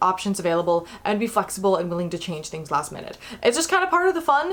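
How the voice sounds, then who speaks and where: Speaking at a very fast pace, a woman talks with an American accent. Background noise is noticeable. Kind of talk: informal educational talk to camera.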